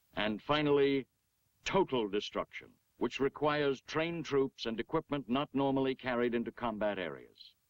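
A man at a moderate pace with ordinary pitch variation, in a dry sound with no echo over a quiet background. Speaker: training film narrator. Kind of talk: vintage US Army training film narration, scripted and authoritative. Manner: steady instructional pace, emphatic on procedures. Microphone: old recording.

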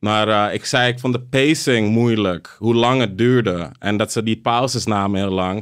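A man talks at a fairly slow pace, his intonation fairly even and the background quiet. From Amsterdam, Jordaan; Netherlands. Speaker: DJ and content creator; DJ, content creator. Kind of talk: casual chat. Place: studio. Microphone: studio mic.

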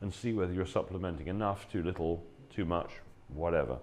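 A man speaks in a very deep, low voice with an English accent. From England. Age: 60s. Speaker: health educator. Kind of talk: talk to live audience. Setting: room with live audience. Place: hall. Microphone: lapel.

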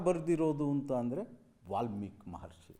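A man with a Telugu accent speaks with very wide pitch swings. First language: Telugu (speaking Kannada). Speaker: university speaker. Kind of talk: commemorative speech. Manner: halting.

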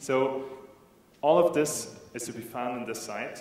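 Talking fairly slowly, a man is heard with audible room echo. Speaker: event host. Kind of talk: event announcements. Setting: stage with audience. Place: hall.

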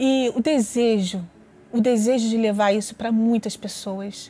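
Her tone is dark and mellow. The woman also sounds somewhat breathy. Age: 40s. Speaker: church member giving testimony. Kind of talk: testimony. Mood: emotional, reflective. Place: studio. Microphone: lapel.

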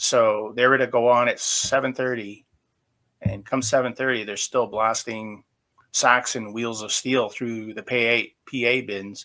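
A man speaks at a very slow pace in a bright, sharp tone with monotone, flat intonation, over a quiet background. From Canada. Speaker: podcast co-host. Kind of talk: casual chat. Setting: video call. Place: home room.

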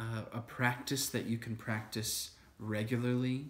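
A man's calm, soothing medium-pitched voice in a flat monotone. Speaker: church video host. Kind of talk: guided breath prayer, led slowly with spoken prayers and breaths. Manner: calm, slow, soothing, gentle pacing; halting with frequent fillers in teaching. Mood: calm, gentle, contemplative. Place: home room. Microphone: phone near.

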